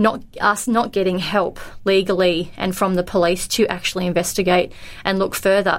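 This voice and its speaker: An Australian accent at a moderate pace, with monotone, flat intonation. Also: woman, very clean recording, silent background. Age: 40s. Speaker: daughter of a missing person. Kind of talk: casual chat.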